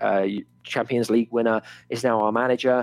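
With a southern English accent, a man talks at a fairly quick pace and fairly even intonation in a dry, close sound with no echo. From England, Oxford. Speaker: sports podcast co-host. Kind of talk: casual chat.

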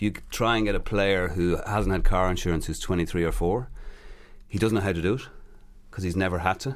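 Audible room echo surrounds a man with an Irish accent who speaks at a fairly quick pace in a very deep, low pitch with ordinary pitch variation. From Ireland. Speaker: player agent. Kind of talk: interview.

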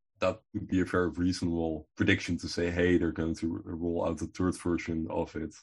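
A man with a Dutch accent speaks in a very deep, low voice that is somewhat breathy. His intonation is monotone and flat, and the background is quiet. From Netherlands. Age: 20s. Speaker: crypto content creator. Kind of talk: interview.

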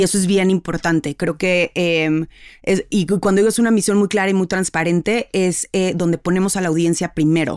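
This woman has a Mexican accent, a medium pitch and fairly even intonation at a moderate pace. The sound is dry and close with no echo, on a very clean recording with a silent background. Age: 30s. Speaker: marketer and cultural psychologist. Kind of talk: interview.

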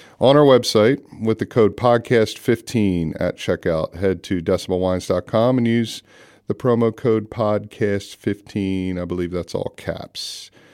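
In an American accent, a man with an unremarkable speaking voice talks fairly slowly at a fairly low pitch with ordinary pitch variation, the sound dry and close with no echo, and the recording very clean with a silent background. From United States. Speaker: winemaker and podcast host. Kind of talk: casual chat.

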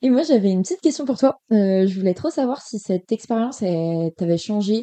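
With a normal speaking voice, a woman talks at a moderate pace and medium pitch, her intonation lively. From western France, Cholet (Maine-et-Loire). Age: 20s. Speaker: graphic design student. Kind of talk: casual chat.

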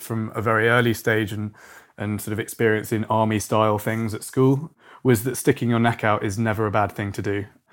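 A man with a British accent talks at a moderate pace and medium pitch. The recording is very clean, with a silent background. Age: 30s. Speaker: company founder. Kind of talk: casual interview.

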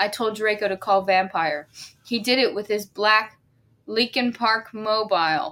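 The reading voice sounds natural. Intonation is fairly even.

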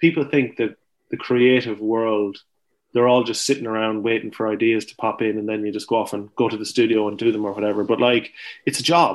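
A man with an Irish accent talks at a fairly quick pace and medium pitch. His intonation is fairly even, and the background is quiet. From Ireland, County Longford. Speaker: farmer and author. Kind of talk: interview. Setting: remote call from farm.

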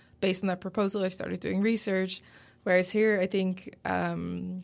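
A woman speaks with a Dutch accent at a fairly low pitch. Her intonation is flat and monotone, on a very clean recording with a silent background. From Netherlands. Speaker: PhD student. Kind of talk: casual interview.

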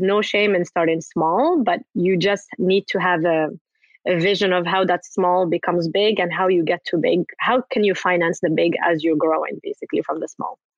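Speaking in a plain, everyday voice, this woman keeps a moderate pace and fairly even intonation. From Morocco, raised in Paris and the US. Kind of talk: interview.

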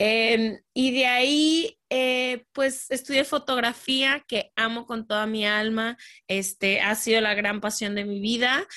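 A woman with a Guadalajara accent, a bright, sharp tone and a fairly high pitch, fairly even intonation, a very slow pace with hardly any pauses, against a quiet background. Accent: Mexican Spanish (Guadalajara). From Mexico, Guadalajara. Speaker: podcaster, former photographer. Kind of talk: interview conversation.

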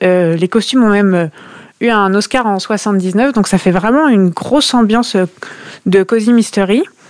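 A woman talks at a fairly slow pace in a medium pitch. Hers is a normal speaking voice. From Normandy, France (near Caen). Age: 20s. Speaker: book club panelist, lawyer. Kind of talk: casual chat.

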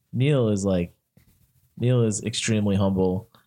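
An American accent marks this man's unremarkable speaking voice, fairly low in pitch with ordinary pitch variation, on a very clean recording with a silent background. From US Northeast. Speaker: social media consultant. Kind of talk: casual chat. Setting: studio.

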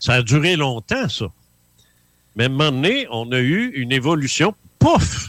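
With a Quebec accent, a man at medium pitch speaks at a fairly slow pace with lively intonation and long, frequent pauses. The sound is dry and close with no echo, on a very clean recording with a silent background. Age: 70s. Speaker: author and former UFO investigator. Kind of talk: radio interview.

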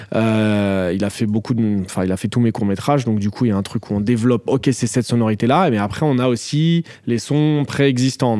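Dark, mellow male voice at a fairly quick pace. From France, Paris suburbs. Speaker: film director. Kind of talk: interview.

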